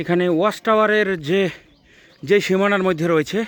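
A man speaks here. His pitch is high, with ordinary pitch variation. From Bangladesh, Barishal region. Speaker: travel vlogger. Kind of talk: vlog narration. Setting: outdoors. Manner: halting.

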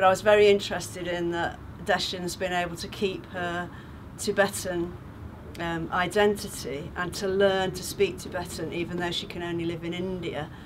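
A woman with a British accent, a warm tone and a fairly low pitch, her intonation monotone and flat, with big swings in loudness over noticeable background noise. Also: moderate pace. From England. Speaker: charity sponsor and retired teacher. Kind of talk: testimony. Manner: warm, chatty with frequent hesitations. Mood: warm, thoughtful.

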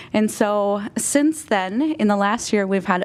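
With an unremarkable speaking voice, a woman talks at a fairly slow pace in a medium pitch. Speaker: community coalition representative. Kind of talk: presentation to city council. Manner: many fillers (um, uh).

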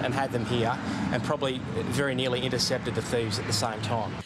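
Loud noise fills the background while a man talks fairly quickly, his pitch varying in an ordinary way. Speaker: witness. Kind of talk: interview answer. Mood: annoyed, indignant. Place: street. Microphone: handheld.

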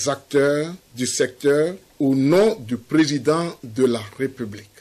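Here a man talks at a very slow pace. His pitch is fairly high. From Togo. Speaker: government minister reading council communiqué. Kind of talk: official communiqué reading. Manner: formal. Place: studio.

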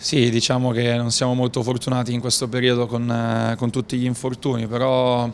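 Over light background noise, a man speaks in a monotone, flat intonation. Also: medium pitch for a man, moderate pace. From northern Italy, Novara (Piedmont); Piedmont, Italy. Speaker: professional football goalkeeper. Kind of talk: post-match interview. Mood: calm, measured. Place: hall. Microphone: handheld.

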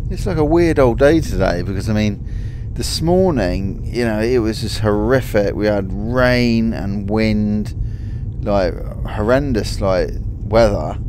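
A man talks at a fairly slow pace in a dry sound with no echo, with noticeable background noise behind him. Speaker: driver vlogger. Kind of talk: casual vlog chat. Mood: relaxed, content. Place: car.

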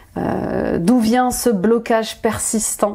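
A woman speaks over a quiet background. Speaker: tarot reader, life coach. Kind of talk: promotional talk in a tarot reading video. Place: home room.

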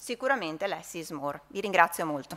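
A woman speaks at a fairly quick pace. Her voice sits fairly low in pitch. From Verona, northern Italy; northern Italy. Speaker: hospital physician; conference presenter. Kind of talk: conference talk. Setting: conference hall with audience. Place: hall. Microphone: podium.

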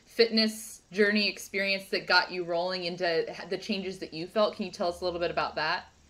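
A woman at a fairly quick pace, her intonation fairly even. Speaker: podcast host. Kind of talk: podcast interview. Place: home room. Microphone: video call.

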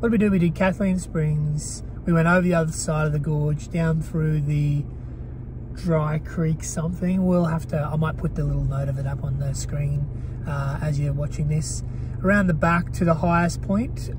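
A man at a moderate pace, with noticeable background noise and dry sound with no echo. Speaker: travel vlogger. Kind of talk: casual vlog chat. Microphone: handheld.

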